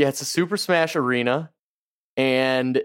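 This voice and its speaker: The recording is very clean, with a silent background and a dry, close sound with no echo. A man speaks at medium pitch with ordinary pitch variation in a plain, everyday voice. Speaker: podcast co-host. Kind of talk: casual chat. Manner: playful, joking.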